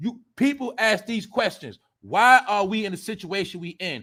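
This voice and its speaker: A man's high-pitched, raised, projected voice with lively intonation and a bright, sharp tone, on a very clean recording with a silent background. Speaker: livestream commentary host. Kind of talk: casual livestream commentary. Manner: animated; loud.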